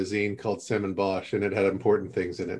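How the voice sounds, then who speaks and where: This man speaks with an American accent. He goes at a very fast pace. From Southern California, Upland. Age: 50s. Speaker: writer and educator. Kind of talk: casual discussion.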